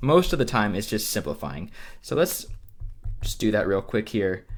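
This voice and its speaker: With music playing in the background, a man speaks with very wide pitch swings. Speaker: math teacher. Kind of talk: lecture. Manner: fast; many filler words (um, uh).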